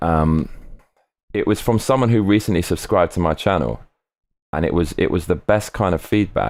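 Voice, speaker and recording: A man speaks at a very deep, low pitch with vocal fry and lively intonation, keeping a very even loudness. His moderate pace is broken by long, frequent pauses in a very clean recording with a silent background. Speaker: live streamer. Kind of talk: live stream chat reading comments. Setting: live stream. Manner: excitable.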